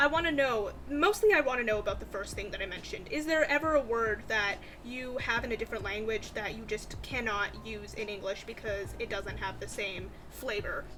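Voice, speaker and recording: Music plays behind a woman speaking at a fairly quick pace. She hardly pauses at all. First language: Bengali. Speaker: writing vlogger. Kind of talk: casual vlog chat. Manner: chatty, conversational.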